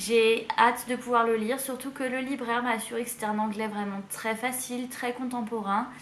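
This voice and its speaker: A high-pitched woman at a moderate pace with hardly any pauses, amid audible room echo and noticeable background noise. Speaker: book youtuber. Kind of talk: casual book haul video. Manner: hesitant with fillers.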